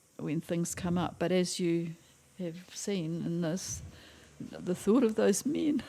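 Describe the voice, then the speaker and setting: In a New Zealand accent, a woman speaks very slowly with a fairly low pitch, a dark, mellow tone and lively intonation. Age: 80s+. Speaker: retired school teacher. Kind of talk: interview answer.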